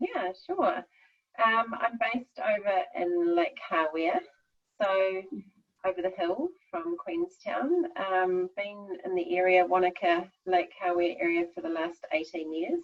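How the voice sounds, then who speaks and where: A woman at a very slow pace with a New Zealand accent. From New Zealand, North Island. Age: 40s. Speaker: skincare business owner. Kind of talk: casual interview.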